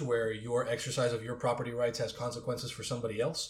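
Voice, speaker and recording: The voice of a man at medium pitch comes with audible room echo. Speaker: magazine editor. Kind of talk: casual panel discussion.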